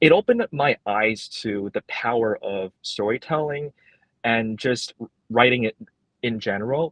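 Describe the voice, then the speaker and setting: A medium-pitched man with a Cantonese accent, fairly slow, with ordinary pitch variation and a dry, close sound with no echo. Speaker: librarian. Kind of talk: interview. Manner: halting, many repetitions and fillers.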